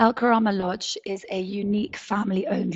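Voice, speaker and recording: The pace is fairly quick, and the intonation fairly even. Noticeable background noise runs underneath. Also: woman. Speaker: safari lodge owner. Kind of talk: webinar presentation. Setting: online webinar.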